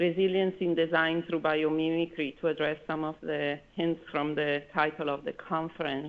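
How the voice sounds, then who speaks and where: A woman's fairly low pitch, with fairly even intonation and a moderate pace. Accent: Italian. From Italy. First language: Italian. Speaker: architect, conference speaker. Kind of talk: conference presentation.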